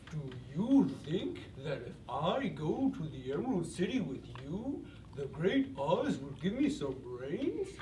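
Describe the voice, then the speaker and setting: A man's put-on character voice, high in pitch and fairly slow, with a slight echo and clear background noise. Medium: stage play.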